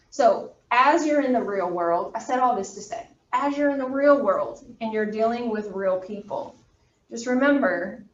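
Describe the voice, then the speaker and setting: Speaking fairly slowly, a woman with a high voice uses ordinary pitch variation while audible room echo surrounds her. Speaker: college anatomy instructor. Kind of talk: lecture. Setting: classroom, also streamed on video call.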